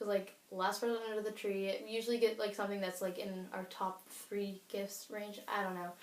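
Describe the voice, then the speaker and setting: An unremarkable speaking voice belongs to this woman, who talks at a fairly quick pace with medium pitch. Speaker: beauty YouTuber. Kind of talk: casual vlog chat. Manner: fast, filler-heavy.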